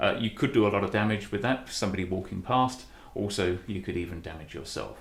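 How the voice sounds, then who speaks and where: With vocal fry and lively intonation, a man speaks at a fairly low pitch. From Britain. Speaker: woodcarver. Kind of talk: instructional demonstration. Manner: friendly, welcoming.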